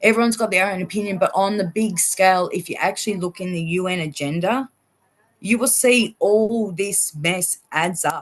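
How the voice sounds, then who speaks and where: With an Australian accent, a woman speaks at a medium pitch. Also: ordinary pitch variation, moderate pace. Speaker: vaccine-injured guest. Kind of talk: interview testimony. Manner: animated, outspoken.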